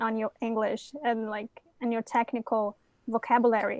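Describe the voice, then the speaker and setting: On a very clean recording with a silent background, a woman speaks with a Brazilian Portuguese accent. Her voice is fairly high, and the sound is dry and close with no echo. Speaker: coding bootcamp graduate. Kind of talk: casual chat. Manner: halting.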